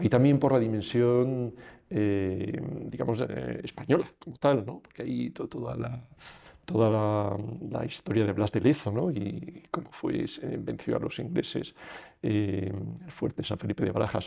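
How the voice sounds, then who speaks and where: A man talks at a moderate pace and fairly low pitch, with vocal fry. His tone is dark and mellow against a quiet background. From Spain. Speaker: lawyer; interviewee. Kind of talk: interview. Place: studio.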